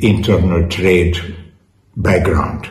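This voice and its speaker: Audible room echo surrounds a man with a Hungarian accent. The background is quiet. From Hungary. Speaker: politician, party president. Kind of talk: interview answer. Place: office.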